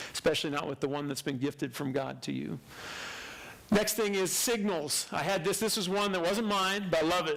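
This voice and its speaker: A man at a very fast pace with audible room echo. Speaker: church speaker. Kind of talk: sermon.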